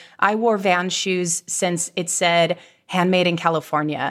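Speaking with an American accent, a woman has a plain, everyday voice at a medium pitch. Her intonation is fairly even and her pace fairly slow, over a very clean recording with a silent background. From Virginia. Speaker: candle company co-founder. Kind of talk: interview conversation.

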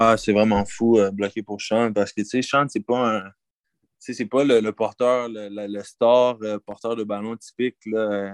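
Speaking very slowly, a man keeps a monotone, flat intonation at a fairly low pitch. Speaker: college football player. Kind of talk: interview. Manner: halting.

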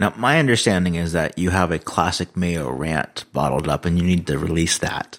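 A man's very deep, low pitch carries vocal fry. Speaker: podcast host. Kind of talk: casual tech podcast chat. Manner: hesitant, filler-heavy.

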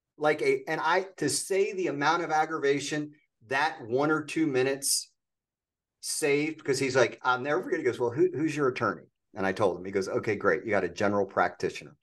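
A man talks at a fairly quick clip with a fairly high pitch, lively intonation and some vocal fry, over a quiet background. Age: 50s. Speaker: podcast host, entrepreneur coach. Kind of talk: interview.

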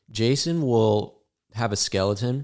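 On a very clean recording with a silent background, a man with an American accent talks with ordinary pitch variation. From Arizona. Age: 20s. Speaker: drummer. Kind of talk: casual chat. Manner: animated.

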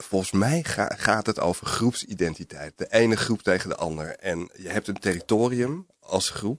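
A man's fairly low-pitched voice at a moderate pace, with lively intonation and hardly any pauses, in a dry, close sound with no echo. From North Holland, near Alkmaar. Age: 40s. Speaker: journalist. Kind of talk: interview. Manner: halting, many hesitations.

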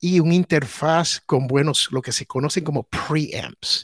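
A man with a fairly high pitch and ordinary pitch variation speaks at a very slow pace. The recording is very clean and silent behind him, with a dry, close sound and no echo. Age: old. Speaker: podcast host and former radio broadcaster. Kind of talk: casual chat. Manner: animated.

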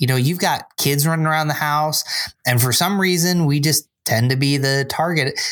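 Speaking at a moderate pace with an American accent, a man uses an ordinary speaking voice, fairly high in pitch and with fairly even intonation. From upstate New York (Binghamton). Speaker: church small groups pastor. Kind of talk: casual chat.

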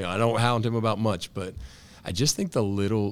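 In an American accent, a man talks with fairly even intonation. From Western Pennsylvania, near Pittsburgh. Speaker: high school football coach and teacher. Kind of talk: casual interview. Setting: school boardroom.

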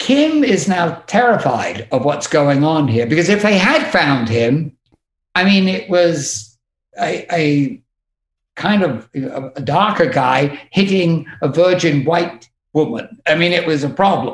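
In an English accent, a man with a high pitch and lively intonation speaks at a very slow pace. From England. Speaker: music tour manager. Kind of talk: casual chat.

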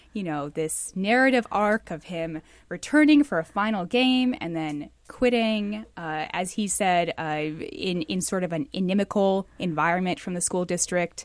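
Over a very clean recording with a silent background, a woman speaks at a fairly slow pace in a plain, everyday voice. Her medium pitch rises and falls with lively intonation. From Seattle. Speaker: investigative reporter. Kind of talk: panel news discussion.

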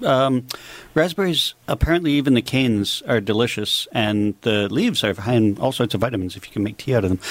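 A man with a Canadian accent speaks at a fairly quick pace and medium pitch, with lively intonation, in an ordinary speaking voice. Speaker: landscaper. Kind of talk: radio call-in advice. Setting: studio.

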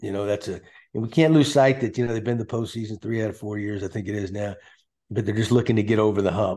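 A man with a fairly low pitch and an American accent, against a quiet background. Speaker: former baseball manager, podcast host. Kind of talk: casual chat.

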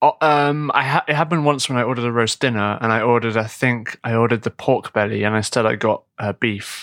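Dry and close with no echo, a man's medium-pitched voice moves at a very fast pace with ordinary pitch variation. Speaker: podcast co-host, English teacher. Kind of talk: casual chat; sales pitch.

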